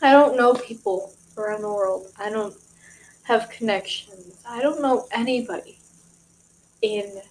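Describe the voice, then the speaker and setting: A woman with an American accent speaks at a fairly slow pace with a fairly high pitch, ordinary pitch variation, and long, frequent pauses. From Michigan, US. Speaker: vlogger. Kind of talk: casual vlog talk to camera.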